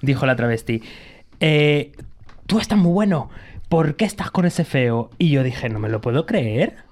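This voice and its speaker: Pitched fairly high, a man talks in a plain, everyday voice. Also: very clean recording, silent background. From Canary Islands. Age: 30s. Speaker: podcast host. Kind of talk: casual chat.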